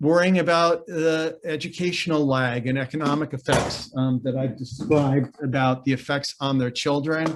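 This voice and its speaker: Speaking at a moderate pace with hardly any pauses, a man keeps a fairly high pitch, fairly even intonation and very even loudness. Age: 60s. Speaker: mental health organization CEO. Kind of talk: webinar presentation. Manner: halting, many repeated words and fillers.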